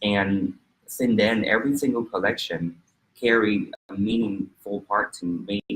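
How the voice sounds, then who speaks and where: A man speaks with a Vietnamese accent at a fairly low pitch. His intonation stays fairly even. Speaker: fashion designer. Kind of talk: interview. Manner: halting.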